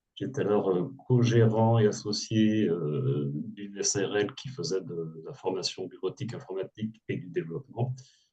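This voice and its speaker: A man talks at a moderate pace in a fairly low voice with a dark, mellow tone and a somewhat breathy quality. His intonation is lively, and his loudness swings widely. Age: 60s. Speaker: former entrepreneur, burnout coach. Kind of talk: testimony. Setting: webinar video call.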